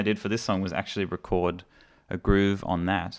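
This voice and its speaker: A man with an Australian accent speaks at a fairly quick pace in a fairly low voice. The recording is very clean, with a silent background. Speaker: musician and mixing engineer. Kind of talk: live stream tutorial. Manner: casual, hesitant with many fillers.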